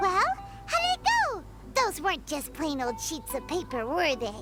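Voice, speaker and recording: In a put-on character voice, the speaker talks at a moderate pace and a high pitch while clear music plays in the background. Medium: video game. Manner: energetic, casual.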